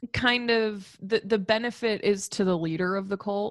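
Against a quiet background, a woman talks in an ordinary speaking voice at a fairly high pitch and a fairly slow pace. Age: 20s. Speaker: podcast co-host. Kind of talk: casual chat.

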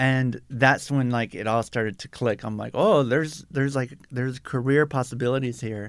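A man talks at a moderate pace with hardly any pauses, in a plain, everyday voice at medium pitch. The recording is very clean, the background silent. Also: fairly even intonation. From South Tucson, Arizona. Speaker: artist and museum exhibit preparator. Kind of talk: interview. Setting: studio.

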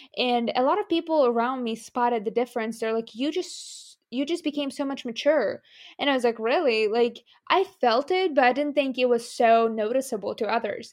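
In a Ukrainian accent, a woman speaks at a moderate pace with a high pitch. Her pitch varies in an ordinary way against a quiet background. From Ukraine. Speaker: medical student. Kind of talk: interview.

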